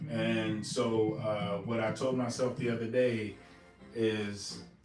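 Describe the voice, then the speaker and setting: Music plays in the background while a man speaks in a relaxed tone. The room has an audible echo. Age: 60s. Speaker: retired Marine veteran, livestream host. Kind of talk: casual chat. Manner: relaxed, many fillers.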